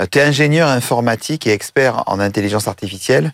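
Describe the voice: A man speaks fast with vocal fry. His pitch varies in an ordinary way. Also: medium pitch for a man.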